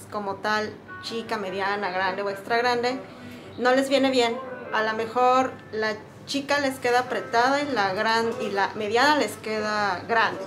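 A woman talks at a fairly slow pace with a fairly high pitch and ordinary pitch variation. Clear music plays in the background. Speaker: swimwear shop employee. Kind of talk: explaining to camera. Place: shop. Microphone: phone near.

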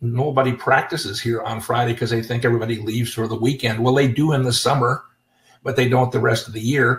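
A man with an American accent talks at a very fast clip in a somewhat breathy voice. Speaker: chiropractor and seminar host. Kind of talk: webinar presentation. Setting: live webinar with microphones.

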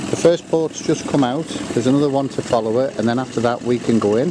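A man talks with ordinary pitch variation. The sound is dry with no echo, though noticeable background noise comes through. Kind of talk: casual vlog chat. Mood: upbeat, a little excited. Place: waterside. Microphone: phone near.

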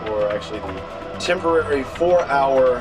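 A man at a moderate pace with clear music in the background. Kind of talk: casual vlog chat. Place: boat. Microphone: phone near.

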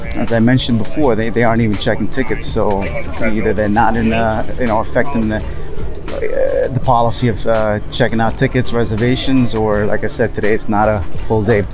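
A man speaks at a fairly quick pace in a monotone, flat intonation with very even loudness. The sound is dry with no echo, and clear music plays in the background. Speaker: travel vlogger. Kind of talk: casual vlog chat. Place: waterside. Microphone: phone near.

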